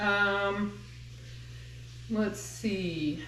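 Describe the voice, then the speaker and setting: A woman with an American accent and medium pitch, in a space with audible room echo. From Massachusetts. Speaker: home cooking channel creator. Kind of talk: cooking tutorial. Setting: home kitchen. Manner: casual, hesitant with fillers.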